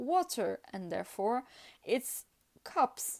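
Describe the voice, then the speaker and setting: A woman's high-pitched voice at a very slow pace, on a very clean recording with a silent background. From France / Italy. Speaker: tarot reader. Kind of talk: casual talk to camera, tarot deck flip-through. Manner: hesitant, many fillers.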